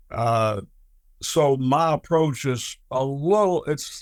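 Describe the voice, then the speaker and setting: Music plays in the background as a man with an American accent speaks at a fairly high pitch. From US South. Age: 70s. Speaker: HOA board president. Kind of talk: interview. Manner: halting, with fillers and repeats.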